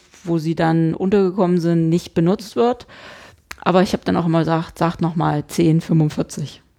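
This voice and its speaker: Her pitch sits fairly low. This woman's tone is dark and mellow. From Saxony-Anhalt, eastern Germany (Hettstedt). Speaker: podcast co-host. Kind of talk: casual chat.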